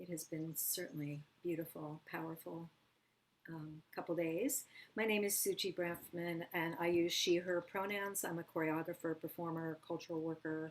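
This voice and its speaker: An ordinary speaking voice from a woman, fairly low in pitch, with fairly even intonation at a moderate pace. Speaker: choreographer and dance educator. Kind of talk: panel presentation.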